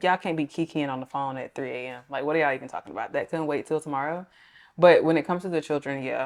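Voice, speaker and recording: A woman with a Georgia accent speaks at a very fast pace in a very deep, low voice with fairly even intonation. The recording is very clean, with a silent background. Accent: Southern (Georgia). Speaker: relationship talk show guest. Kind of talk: casual chat.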